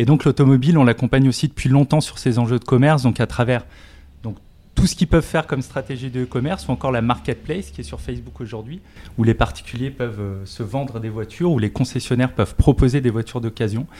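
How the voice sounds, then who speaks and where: A man with a dark, mellow tone and some vocal fry speaks very fast at a medium pitch, his pitch varying in an ordinary way. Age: 40s. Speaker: tech company industry director. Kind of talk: interview.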